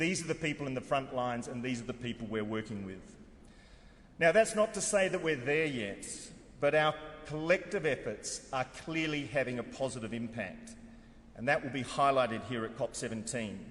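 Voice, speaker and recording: A man with an Australian accent speaks at a moderate pace. His pitch is fairly high, and his intonation is lively. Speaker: head of an international convention secretariat. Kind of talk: formal conference speech. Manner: formal.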